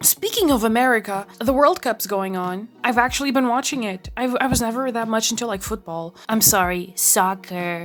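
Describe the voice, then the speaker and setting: A woman's fairly high voice in a Portuguese accent, with hardly any pauses. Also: ordinary pitch variation, moderate pace. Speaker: art YouTuber. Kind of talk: casual rambling vlog while drawing.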